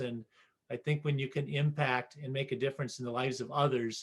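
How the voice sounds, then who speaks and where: A man with a fairly high pitch, monotone and flat in intonation, at a fairly quick pace. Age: 60s. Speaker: podcast host, educator coach. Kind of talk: interview conversation.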